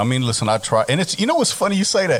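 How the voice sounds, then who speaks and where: Noticeable background noise sits behind a man with an American accent. His pitch swings very widely. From US South (Texas, Oklahoma, Arkansas). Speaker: radio station manager. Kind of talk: casual chat.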